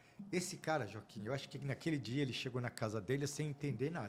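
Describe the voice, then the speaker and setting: Somewhat breathy, fairly high male voice, moving at a fairly quick pace. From Brazil. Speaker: audit firm partner. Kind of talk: interview storytelling. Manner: emotional.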